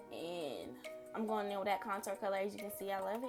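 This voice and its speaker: A woman talks while clear music sounds in the background. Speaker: beauty vlogger. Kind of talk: makeup tutorial voiceover. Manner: casual, chatty. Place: home room. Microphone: phone near.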